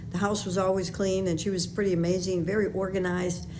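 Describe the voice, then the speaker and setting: Noticeable background noise and audible room echo accompany a woman with an American accent speaking at a medium pitch. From Chicago, West Side. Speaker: podcast host, former sales trainer and public speaker. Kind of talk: personal monologue. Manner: casual, with fillers.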